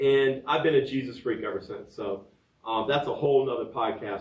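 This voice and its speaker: With an American accent, a man at medium pitch sounds somewhat breathy, talking at a moderate pace amid audible room echo. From Virginia, US. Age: 60s. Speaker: podcaster and fitness trainer. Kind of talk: personal storytelling podcast. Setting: home studio.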